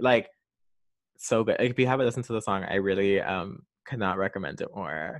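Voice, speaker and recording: This man has a normal speaking voice, fairly low in pitch with ordinary variation. He talks at a moderate pace. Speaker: pop culture podcast host. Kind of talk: solo podcast monologue. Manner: casual, filler-heavy.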